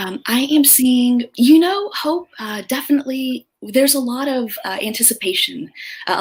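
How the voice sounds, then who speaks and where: A soft-spoken woman talks at a moderate pace. Her pitch is high. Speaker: career coach. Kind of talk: interview.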